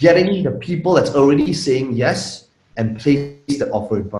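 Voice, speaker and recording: A Malaysian accent, a fairly slow pace, and very wide swings in pitch. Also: man. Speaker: internet marketer. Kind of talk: interview.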